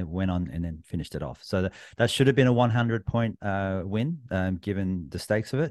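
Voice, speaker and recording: A man with an Australian accent and a very deep, low voice, ordinary pitch variation, against a quiet background. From New South Wales, Australia. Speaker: sports podcaster. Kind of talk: casual chat.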